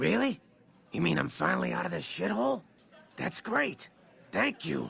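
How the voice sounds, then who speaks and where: This man puts on a character voice, very deep and low and raspy. He keeps a moderate pace. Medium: video game. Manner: wisecracking, sarcastic.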